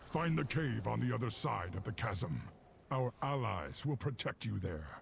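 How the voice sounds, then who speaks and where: A man does a put-on character voice with very wide pitch swings at a moderate pace, with clear background noise behind him. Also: fairly low pitch for a man. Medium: video game. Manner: grave, intense.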